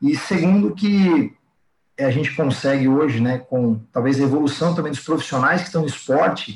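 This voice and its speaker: His intonation moves in a lively way. There is a somewhat breathy quality to this man's voice. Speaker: fitness coach. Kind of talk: casual interview chat.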